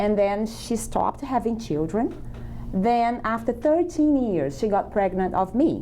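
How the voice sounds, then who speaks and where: A woman with a Brazilian accent talks at a fairly slow pace, her pitch fairly high. Her voice makes very wide pitch swings while its loudness stays very even. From Brazil, small countryside town. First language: Portuguese. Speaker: immigrant guest. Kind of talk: interview.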